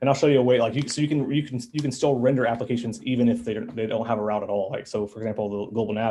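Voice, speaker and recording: Somewhat breathy, a man speaks at a very fast pace at a medium pitch. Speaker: meetup presenter, web developer. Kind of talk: live coding tutorial. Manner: excited, filler-heavy.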